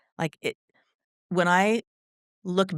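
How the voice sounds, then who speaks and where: An animated voice talks at a moderate pace. The recording is very clean, with a silent background. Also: woman. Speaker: kindergarten teacher and union president. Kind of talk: casual interview conversation. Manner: loud.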